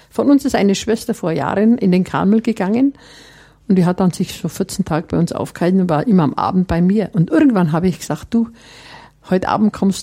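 A somewhat breathy voice with a dark, mellow tone moves at a fairly quick pace, its intonation lively. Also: woman. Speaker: nun and master brewer. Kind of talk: interview.

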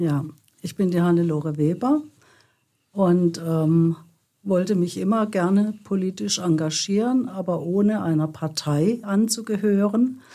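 A woman's dark, mellow tone at medium pitch, with ordinary pitch variation and a fairly slow pace. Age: 70s. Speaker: activist. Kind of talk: interview.

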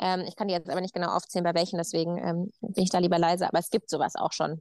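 A woman talks very fast with hardly any pauses, her pitch fairly low. Her intonation is monotone and flat, and the sound is dry and close with no echo. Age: 30s. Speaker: farmer. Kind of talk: casual chat.

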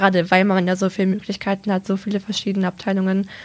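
A woman talks at a very fast pace. Her pitch is medium. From Lower Saxony, Germany (Braunschweig/Salzgitter). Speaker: apprentice in industrial business administration. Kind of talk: casual interview.

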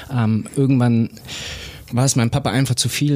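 Noticeable background noise behind a man talking at a medium pitch, with ordinary pitch variation. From Bavarian Swabia (Bobingen near Augsburg). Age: 30s. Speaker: racing driver. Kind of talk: casual interview.

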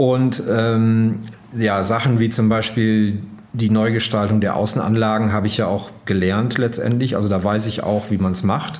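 A man speaks at a moderate pace in a fairly low, flat monotone with very even loudness, over noticeable background noise and audible room echo. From northern Germany, East Frisia. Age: 50s. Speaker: magazine editor-in-chief. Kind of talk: interview. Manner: hesitant, many fillers.

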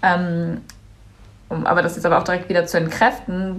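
A woman talks at a fairly quick pace in a fairly low pitch, with noticeable background noise and audible room echo. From Germany, Cologne. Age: young. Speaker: climate activist, student. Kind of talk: interview.

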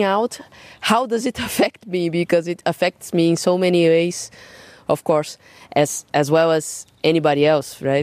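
A woman with a Portuguese accent speaks fairly slowly at a fairly low pitch, the sound dry and close with no echo. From Brazil, São Paulo. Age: 30s. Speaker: jazz drummer and singer. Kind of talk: interview. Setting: garden at home. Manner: halting, repeats words.

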